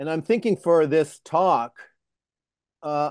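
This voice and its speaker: A man's fairly high voice, dry and close with no echo, against a quiet background. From Canada, Toronto. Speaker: retired professor. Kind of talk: interview. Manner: halting.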